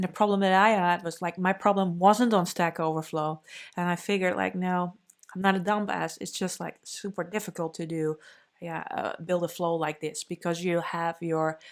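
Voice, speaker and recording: In a Dutch accent, a woman with a fairly low pitch talks at a moderate pace in a flat monotone, on a very clean recording with a silent background. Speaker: developer advocate. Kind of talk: conference talk. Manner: casual, many fillers.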